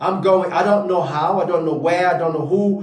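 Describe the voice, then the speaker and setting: A man talks in an animated tone with a high pitch. Audible room echo and noticeable background noise surround his voice. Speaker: motivational speaker. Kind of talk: motivational talk. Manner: stuttering at times.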